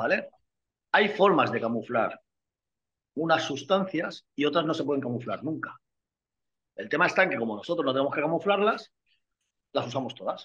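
A man with a fairly high pitch speaks at a moderate pace with lively intonation. His loudness swings widely, and he takes long, frequent pauses. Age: 50s. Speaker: bodybuilder and nutritionist. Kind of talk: casual interview. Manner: animated.

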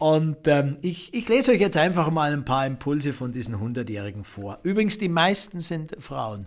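A man with a fairly high pitch makes very wide pitch swings. He keeps a moderate pace with hardly any pauses. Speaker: podcast host, spiritual coach. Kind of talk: reflective monologue.

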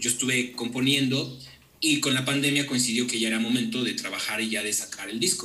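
A man with a Mexican accent talks at a fairly quick pace with fairly even intonation, amid audible room echo and noticeable background noise. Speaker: musician. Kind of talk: casual chat.

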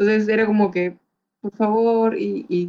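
A woman in a normal speaking voice, at medium pitch and a moderate pace. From Peru, Chiclayo. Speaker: film art producer and beauty queen. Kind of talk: interview.

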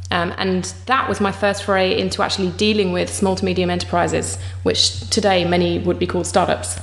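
Over noticeable background noise, a woman with an English accent speaks at a fairly quick pace and very even loudness. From England. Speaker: startup co-founder. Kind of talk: interview.

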